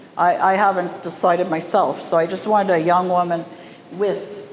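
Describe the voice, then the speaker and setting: In a Canadian accent, a woman talks at a moderate pace. Background noise is noticeable, along with audible room echo. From Canadian prairies, Winnipeg. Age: 60s. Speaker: artist. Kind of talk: gallery talk. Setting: art gallery with audience. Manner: casual, conversational.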